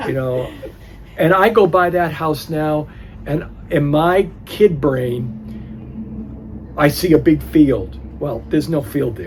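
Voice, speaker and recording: A fairly high-pitched man speaks very slowly with long, frequent pauses and lively intonation over noticeable background noise. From New Hampshire. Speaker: oral history interviewee. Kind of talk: oral history interview. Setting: library. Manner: halting.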